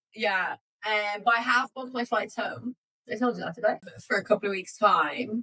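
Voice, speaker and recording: In an Irish accent, a bright, sharp tone comes at a moderate pace with ordinary pitch variation and a dry, close sound with no echo. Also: woman. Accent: English with a picked-up Irish lilt. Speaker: travel podcast co-host. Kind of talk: casual chat. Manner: chatty, with many fillers.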